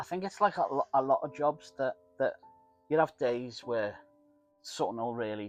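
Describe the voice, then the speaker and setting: A man with a Liverpool accent speaks with lively intonation and long, frequent pauses. Music plays in the background. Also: medium pitch for a man, moderate pace. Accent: Scouse. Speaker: shop owner. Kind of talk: interview answer. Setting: shop.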